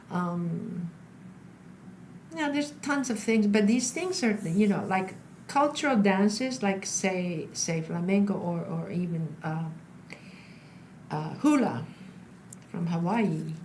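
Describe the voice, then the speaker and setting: Very slow speech with long, frequent pauses and lively intonation, amid noticeable background noise and audible room echo. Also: woman, medium pitch for a woman. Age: 60s. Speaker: stage actor and flamenco dancer. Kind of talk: interview conversation. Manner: halting, many fillers.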